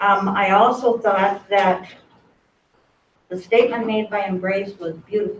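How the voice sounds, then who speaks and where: A woman's medium-pitched voice comes out shaky and somewhat breathy. She talks at a fairly slow pace with fairly even intonation. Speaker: member of the public commenting. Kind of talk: public comment speech. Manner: shaky voice.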